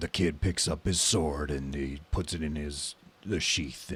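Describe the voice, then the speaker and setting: Using a put-on character voice, a man speaks at a moderate pace in a gravelly tone with a very deep, low pitch. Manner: narrating the player's actions.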